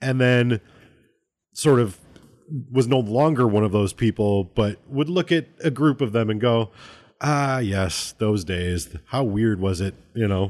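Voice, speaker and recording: Against a quiet background, a man with an ordinary speaking voice talks at a fairly slow pace and medium pitch, his intonation lively. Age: 30s. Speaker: podcast host. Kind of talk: casual chat.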